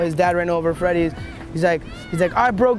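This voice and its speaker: Faint music plays behind a man speaking at a fairly quick pace in a high voice. The sound is dry with no echo, and his intonation is fairly even. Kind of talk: interview answer. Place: waterside.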